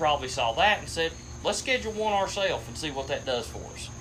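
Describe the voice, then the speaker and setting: There is noticeable background noise behind the voice. A man speaks in an Appalachian accent with lively intonation. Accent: Appalachian Kentucky. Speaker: sports podcast host. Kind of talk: casual chat.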